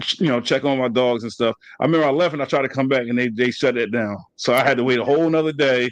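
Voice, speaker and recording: A man in an American accent at a very fast pace, medium pitch, fairly even intonation. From New Jersey. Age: 30s. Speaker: podcast host. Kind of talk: casual chat. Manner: halting.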